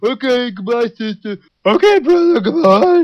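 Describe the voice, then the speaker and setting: His extremely high voice makes very wide pitch swings as this man speaks. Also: moderate pace. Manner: casual, doing both sides of the call.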